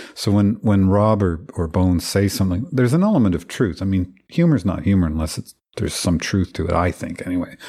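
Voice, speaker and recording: With an Ottawa Valley accent, a man talks at a fairly quick pace in a very deep, low pitch with ordinary pitch variation, recorded very cleanly against a silent background. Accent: Ottawa Valley Canadian English. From Ottawa Valley, Ontario, Canada. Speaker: record producer. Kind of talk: casual interview.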